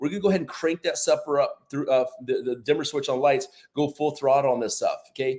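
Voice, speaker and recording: A man speaks in an animated tone. His pitch varies in an ordinary way. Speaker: product promoter. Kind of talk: sales pitch. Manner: fast.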